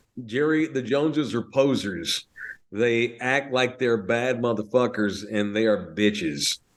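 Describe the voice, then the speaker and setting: A man with a North Texas accent, medium pitch, ordinary pitch variation and a fairly slow pace. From North Texas (Fort Worth). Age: 40s. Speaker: sports radio host. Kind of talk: casual podcast chat. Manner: animated.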